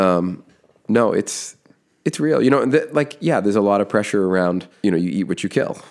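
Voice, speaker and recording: In an American accent, a man with an unremarkable speaking voice talks at a fairly quick pace and a fairly low pitch. His intonation is lively, and the recording is very clean with a silent background. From Massachusetts (Foxborough, near Boston). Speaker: construction business owner and podcaster. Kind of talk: podcast interview.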